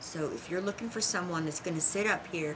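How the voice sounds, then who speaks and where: A woman with a Southern US accent, fairly low in pitch, at a moderate pace, with an animated tone, lively intonation and noticeable background noise. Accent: country, rural Southern US. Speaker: tarot teacher. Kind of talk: casual monologue to viewers. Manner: animated, with hand talking; occasional stutter.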